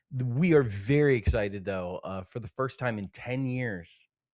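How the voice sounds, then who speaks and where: Here a man speaks in an American accent at a moderate pace, his medium pitch showing ordinary pitch variation. He has an unremarkable speaking voice, heard on a very clean recording with a silent background. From Ohio, US Midwest. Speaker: podcast co-host. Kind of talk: casual chat.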